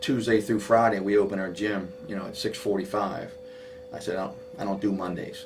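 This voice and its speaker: Over music in the background and audible room echo, a man with an American accent speaks at a fairly low pitch with ordinary pitch variation. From Maryland, US (Silver Spring area). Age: 50s. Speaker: high school basketball coach. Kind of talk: interview. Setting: coach's office. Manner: animated, many fillers.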